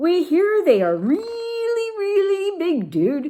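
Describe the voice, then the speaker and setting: A squeaky, put-on character voice at an extremely high pitch and a very slow pace. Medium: read story.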